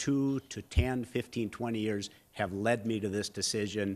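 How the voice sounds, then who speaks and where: A man with an Upper Midwest accent speaks at a medium pitch and moderate pace with ordinary pitch variation, on a very clean recording with a silent background. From North Dakota, Fargo. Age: 60s. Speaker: mayoral candidate. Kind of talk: candidate forum speech. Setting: public forum with audience, televised.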